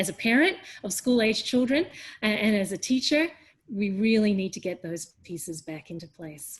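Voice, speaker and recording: Somewhat breathy delivery with lively intonation in an Australian accent. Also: woman, medium pitch for a woman, moderate pace, big swings in loudness. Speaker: education leader and teacher. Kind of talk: webinar panel discussion.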